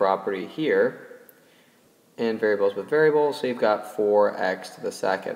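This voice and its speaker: Someone with an unremarkable speaking voice talks at a moderate pace. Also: man. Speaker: math teacher. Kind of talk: tutorial.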